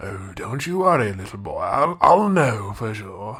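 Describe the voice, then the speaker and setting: A man puts on a character voice at a medium pitch. His pitch swings very widely at a moderate pace. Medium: audio drama. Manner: cryptic, formal, insistent.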